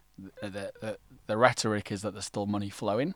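A man with a London accent and fairly low pitch at a very fast pace, on a very clean recording with a silent background. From England. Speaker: startup ecosystem partnerships lead. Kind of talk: podcast interview.

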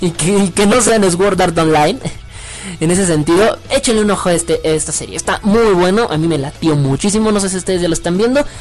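Noticeable background noise sits under an animated tone with ordinary pitch variation. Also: man, high pitch for a man. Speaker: internet radio host. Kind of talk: casual chat. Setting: online radio stream. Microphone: microphone configuration problems, sounds odd.

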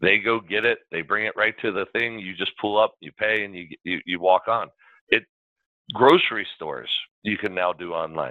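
This man has a plain, everyday voice, pitched fairly low, with ordinary pitch variation. He keeps a moderate pace while his loudness swings widely. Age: 50s. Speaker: podcast host. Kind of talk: casual interview.

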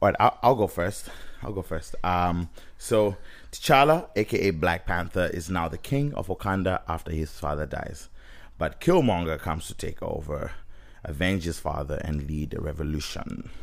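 A man's very deep, low voice in a Zimbabwean accent, with lively intonation at a moderate pace. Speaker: podcast co-host. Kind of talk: casual podcast chat about a movie.

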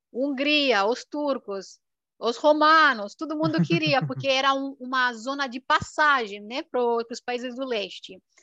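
Raising and projecting her voice, a woman speaks at a high pitch in a bright, sharp tone, with a dry, close sound and no echo. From rural Romania, Transylvania. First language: Romanian (speaking Portuguese). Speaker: YouTuber. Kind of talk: casual interview. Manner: talkative.

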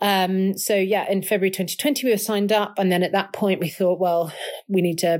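Speaking fairly quickly with a London accent, a woman keeps a medium pitch, fairly even intonation and very even loudness. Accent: southern English (London). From southwest London. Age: 30s. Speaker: ocean rower. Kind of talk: interview. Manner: casual, with filler words.

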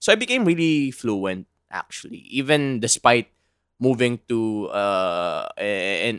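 The voice comes with a Filipino accent and ordinary pitch variation. The recording is very clean with a silent background, and the sound is dry and close with no echo. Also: man. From Philippines, Manila. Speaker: podcast co-host. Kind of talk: casual chat.

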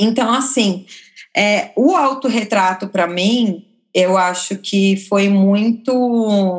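Speaking at a very slow pace, a woman uses a medium pitch with ordinary pitch variation and very even loudness. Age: 30s. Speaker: photographer. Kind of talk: casual chat.

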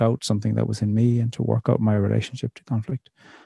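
A man's somewhat breathy, dark and mellow voice at medium pitch, with an Irish accent, fairly even intonation and a very fast pace, in a dry, close sound with no echo. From Ireland. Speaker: poet and theologian. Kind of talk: interview conversation.

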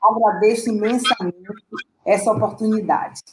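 The voice is an unremarkable speaking voice. It moves at a fairly slow pace. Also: woman. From Salvador, Bahia, Brazil. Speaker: dancer and dance teacher. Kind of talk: interview.

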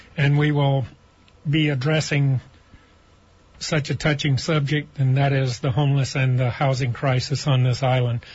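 A man's fairly high, somewhat breathy voice in a monotone, flat intonation, with very even loudness and long, frequent pauses. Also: moderate pace. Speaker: housing nonprofit president. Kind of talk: radio panel discussion. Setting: studio.

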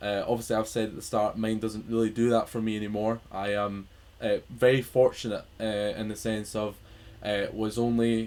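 Speaking at a moderate pace, a man with a Scottish accent has a fairly low pitch and a flat, monotone delivery. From Scotland. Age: 20s. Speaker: podcast host. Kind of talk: casual chat. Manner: halting.

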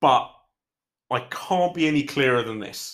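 A man with a British accent and ordinary pitch variation, on a very clean recording with a silent background. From Britain. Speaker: MMA podcast host. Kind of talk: casual solo commentary podcast.

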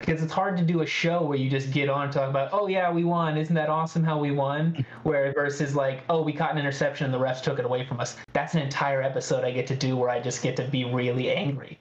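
A man with an American accent at a very fast pace, hardly any pauses, a fairly high pitch, very even loudness and fairly even intonation, over noticeable background noise. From Northern California (Redding). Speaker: podcast guest, sports podcaster. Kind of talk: casual chat. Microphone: unstable internet connection.

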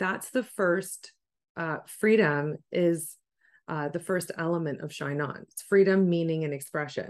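A woman with a Canadian accent and a normal speaking voice talks at a fairly slow pace and fairly low pitch, with big swings in loudness. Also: ordinary pitch variation. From Canada, Ontario. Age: 40s. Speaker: life coach. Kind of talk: coaching conversation. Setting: call.

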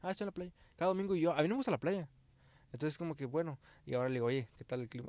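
A man with a Mexican accent, fairly high pitch, lively intonation, very fast pace and long, frequent pauses. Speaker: podcast co-host. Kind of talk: casual chat.

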